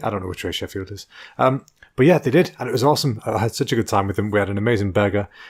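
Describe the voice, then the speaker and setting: A man with an English accent and ordinary pitch variation, on a very clean recording with a silent background. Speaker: comedy podcast host. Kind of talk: casual chat. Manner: tense.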